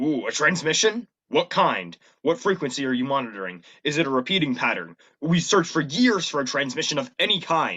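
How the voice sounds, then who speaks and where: Using a put-on character voice, a man talks fairly quickly at a fairly high pitch. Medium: stage play. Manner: blustering, self-important.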